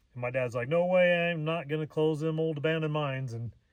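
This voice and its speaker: Speaking very fast, a man's pitch varies in an ordinary way. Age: 60s. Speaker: gold prospector and mine reclamation contractor. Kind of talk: casual vlog monologue. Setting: outdoors. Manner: halting, many fillers.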